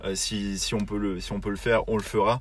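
Fairly deep male speech, the intonation fairly level throughout. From southern France. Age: young. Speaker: podcast co-host, naval construction project manager. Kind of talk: casual chat. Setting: in a car. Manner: hesitant, many repetitions.

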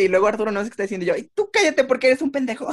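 A man speaks with an extremely high pitch. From Mexico. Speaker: visual artist. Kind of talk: casual chat.

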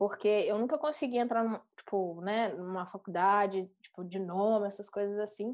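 Against a quiet background, a woman with a plain, everyday voice and medium pitch speaks at a fairly slow pace with ordinary pitch variation. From Brazilian countryside. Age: 30s. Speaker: product designer. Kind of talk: casual chat.

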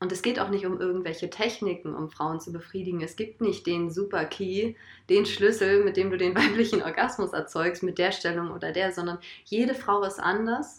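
A woman talks at a moderate pace in a medium pitch with ordinary pitch variation. Hers is an unremarkable speaking voice. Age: 20s. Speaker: holistic coach and trainee alternative practitioner. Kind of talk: casual conversation.

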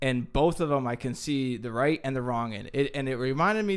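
At a moderate pace, a man talks in an ordinary speaking voice at a medium pitch with ordinary pitch variation. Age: 20s. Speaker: podcast co-host, military veteran. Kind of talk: casual chat.

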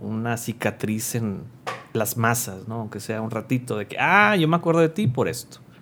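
Moving at a moderate pace, a man with an ordinary speaking voice uses lively intonation. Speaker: podcast co-host. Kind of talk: casual chat.

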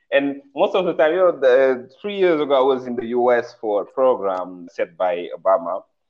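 A man's medium-pitched voice with a Senegalese accent, very wide pitch swings, a moderate pace and hardly any pauses. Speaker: fashion designer. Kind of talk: interview conversation. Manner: halting, searching for words.

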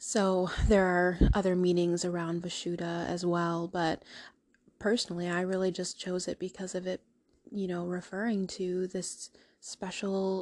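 A woman speaks at a fairly slow pace with a medium pitch. Her intonation is monotone and flat, and the recording is very clean with a silent background. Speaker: podcast host. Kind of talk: solo monologue. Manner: halting.

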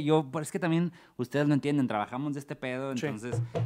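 In a Mexican accent, a man speaks at a very fast pace. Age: 40s. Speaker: comedian and theatre actor. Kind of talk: casual chat.

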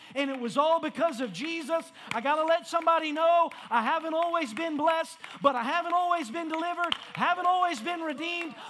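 An animated man with an extremely high pitch, his voice raised and projected at a very fast pace, amid noticeable background noise. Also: ordinary pitch variation. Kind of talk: sermon. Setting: church with congregation. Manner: animated, call-and-response preaching with rising fervor.

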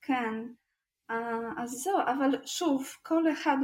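A woman is speaking. She has a non-native accent. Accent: foreign accent in Hebrew. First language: not Hebrew (speaking Hebrew). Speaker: true crime podcast co-host. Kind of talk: casual storytelling chat.

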